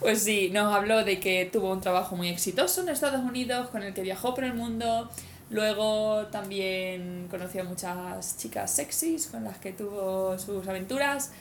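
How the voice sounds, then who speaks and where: A woman speaks at a medium pitch with ordinary pitch variation. Her pace is fairly slow, and the room echo is audible. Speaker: cycle-touring podcast host. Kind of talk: casual chat.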